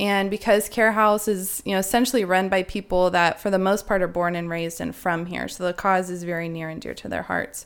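A woman talks at a fairly quick pace with hardly any pauses, in an unremarkable speaking voice. Her pitch is medium and her intonation fairly even. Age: 30s. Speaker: charity board member. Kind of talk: interview.

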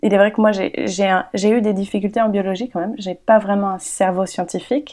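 A woman's medium-pitched voice, dark and mellow in tone, at a moderate pace. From France (Paris). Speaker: environmental communicator and documentary maker. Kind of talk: interview conversation. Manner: hesitant, frequent fillers.

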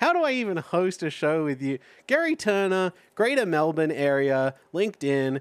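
A high-voiced man with an Australian accent at a moderate pace, on a very clean recording with a silent background and a dry, close sound with no echo. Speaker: podcast host. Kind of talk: casual comedic podcast chat.

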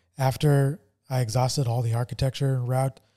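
A man speaks in a dark, mellow, somewhat breathy tone with monotone, flat intonation. The recording is very clean, with a silent background. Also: dry, close sound with no echo. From New Mexico. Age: 40s. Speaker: podcast host. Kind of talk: casual chat. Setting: studio.

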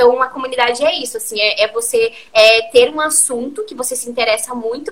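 Fairly quick and high-pitched, a woman's voice makes very wide pitch swings over noticeable background noise. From Curitiba, southern Brazil. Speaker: community-building entrepreneur. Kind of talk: interview on a live stream.

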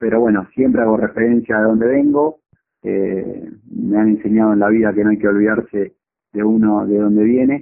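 A man's ordinary speaking voice, fairly low in pitch, with fairly even intonation, a moderate pace and very even loudness. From Argentina, Chacabuco (Buenos Aires province). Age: 30s. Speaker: marathon runner. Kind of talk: interview.

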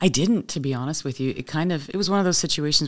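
The speaker has a Canadian accent. The recording is very clean, with a silent background. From Windsor, Ontario, Canada. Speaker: charity executive director and TV host. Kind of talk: casual interview chat. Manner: warm, friendly, chatty.

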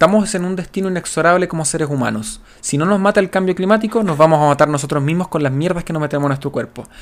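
A man speaks with a Chilean accent. His pace is very fast. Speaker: podcast co-host. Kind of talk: casual chat.

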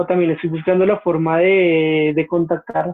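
A man's high pitch and monotone, flat intonation at a fairly slow pace. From Colombia. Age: 20s. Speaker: history graduate. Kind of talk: casual interview.

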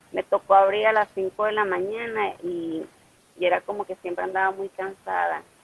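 Using a plain, everyday voice, a woman talks at a moderate pace and medium pitch, her pitch varying in an ordinary way. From Mexico, Ciudad Obregón, Sonora. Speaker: CrossFit athlete. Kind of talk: casual interview.

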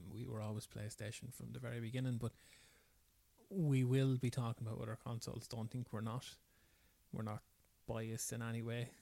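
Speaking at a fairly quick pace with long, frequent pauses, a man with an Irish accent has a medium pitch, a dark, mellow tone and monotone, flat intonation. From rural Ireland. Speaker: podcast co-host.

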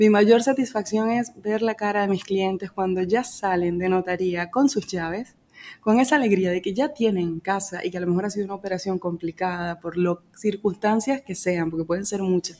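A woman's dark, mellow tone with ordinary pitch variation and hardly any pauses. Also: medium pitch for a woman, moderate pace, very clean recording, silent background. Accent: Venezuelan. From Venezuela. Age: 30s. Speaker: financial broker. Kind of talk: interview. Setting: office.

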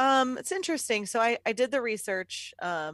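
With an ordinary speaking voice, a woman talks at a fairly quick pace and with lively intonation on a very clean recording with a silent background and a dry, close sound with no echo. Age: 30s. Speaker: podcast co-host. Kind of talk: casual chat.

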